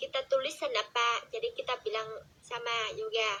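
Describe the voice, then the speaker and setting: A woman with a Vietnamese accent talks at a moderate pace in a raised, projected voice. Her pitch swings very widely. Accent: Vietnamese accent in Indonesian. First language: Vietnamese (speaking Indonesian). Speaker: TikTok live streamer. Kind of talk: casual chat. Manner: halting.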